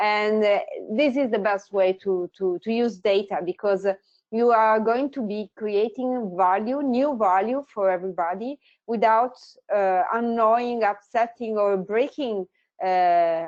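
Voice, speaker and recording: A woman speaks in an Italian accent at a fairly slow pace. Her pitch is fairly high, with ordinary pitch variation. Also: dry, close sound with no echo. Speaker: tech company founder. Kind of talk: webinar presentation.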